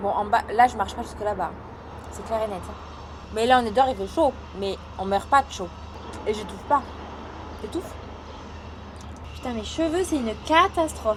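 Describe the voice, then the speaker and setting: The speech moves at a moderate pace with long, frequent pauses and big swings in loudness. Noticeable background noise is present. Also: woman. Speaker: vlogger and online coach. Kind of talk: casual vlog. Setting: outdoors, hot weather. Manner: soft-spoken; hesitant, many fillers.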